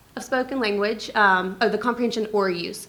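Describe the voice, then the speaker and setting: Audible room echo surrounds a woman speaking at a fairly quick pace. Her medium pitch follows fairly even intonation. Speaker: speech-language pathologist. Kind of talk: conference talk. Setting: stage with audience.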